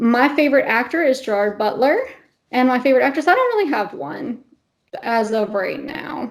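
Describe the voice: Her high voice moving through big pitch swings, a woman talks at a moderate pace.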